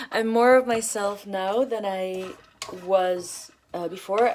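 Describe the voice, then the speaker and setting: Words come out very slowly, with pitch rising and falling in a usual way. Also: woman. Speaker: vlogger. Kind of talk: personal vlog talk to camera. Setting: at home while cooking. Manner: hesitant, many fillers and restarts.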